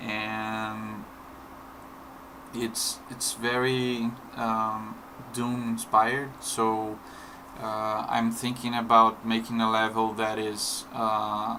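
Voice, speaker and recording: A man with a non-native accent speaks at a very slow pace and a medium pitch, in a monotone, flat intonation with long, frequent pauses and audible room echo. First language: not English. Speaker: indie game developer. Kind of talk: tutorial. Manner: halting, many fillers and repetitions.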